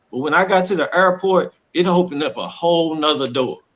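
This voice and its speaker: A man talks with a Southern US accent at a moderate pace. His pitch is high, with ordinary variation. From Texas (Dallas). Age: 40s. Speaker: domestic violence survivor. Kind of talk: testimony. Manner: animated.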